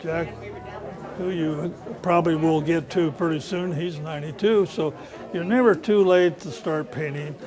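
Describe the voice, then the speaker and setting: Over crowd noise in the background, a man talks at a high pitch with ordinary pitch variation. Audible room echo surrounds his voice. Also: moderate pace. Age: 70s. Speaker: amateur painter. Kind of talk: casual interview talk. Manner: halting.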